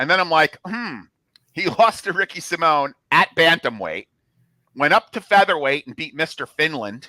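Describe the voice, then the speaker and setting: A fairly high-pitched man with a New Jersey accent, bright and sharp, lively in intonation with big swings in loudness, at a moderate pace, the sound dry and close with no echo. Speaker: MMA betting analyst. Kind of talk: casual chat.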